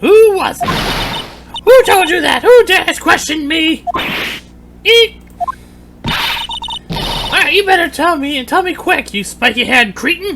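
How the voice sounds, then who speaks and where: Putting on a character voice at an extremely high pitch, a woman speaks at a moderate pace with long, frequent pauses. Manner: menacing, indignant, shrieking.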